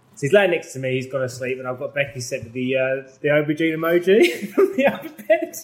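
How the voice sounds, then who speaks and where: A somewhat breathy man at a very fast pace, fairly high in pitch with ordinary pitch variation. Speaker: reality TV personality. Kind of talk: casual chat.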